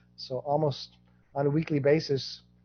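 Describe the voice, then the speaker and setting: A man speaks in a fairly high pitch with a somewhat breathy quality. His intonation stays flat and monotone. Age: 60s. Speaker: genealogy project founder, guest speaker. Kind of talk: presentation Q&A.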